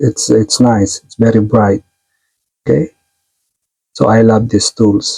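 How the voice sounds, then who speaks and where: A somewhat breathy voice with a non-native accent speaks at a fairly slow pace in a dark, mellow tone. The sound is dry and close, with no echo. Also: man. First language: not English. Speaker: tech tutorial youtuber, stage lighting technician. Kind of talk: tutorial. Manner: halting, many fillers.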